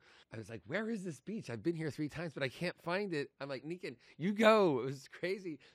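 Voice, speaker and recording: A normal speaking voice from a man, fairly high in pitch, fairly quick, with hardly any pauses. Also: lively intonation. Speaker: podcast host. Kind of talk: casual interview chat. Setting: conference, recorded at Cannes.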